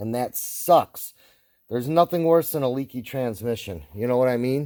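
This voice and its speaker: On a very clean recording with a silent background, a man speaks at a medium pitch in a dark, mellow tone. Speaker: DIY auto repair YouTuber. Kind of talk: casual tutorial. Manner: rambling, self-correcting.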